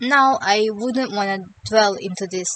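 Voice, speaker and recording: This woman speaks with a non-native accent at a medium pitch. Her pace is moderate and her pitch variation ordinary. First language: not English. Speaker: YouTuber, music lyrics reviewer. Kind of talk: scripted commentary.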